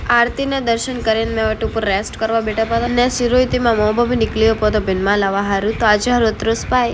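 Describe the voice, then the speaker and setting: A woman's fairly high voice, monotone and flat, at a moderate pace with hardly any pauses and very even loudness, over noticeable background noise. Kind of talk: casual vlog narration.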